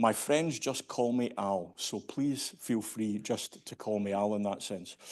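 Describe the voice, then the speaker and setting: Speaking with a Scottish accent at a medium pitch, a man shows ordinary pitch variation over a quiet background. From Scotland, Glasgow. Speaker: standards industry leader. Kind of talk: conference keynote speech. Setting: stage with audience.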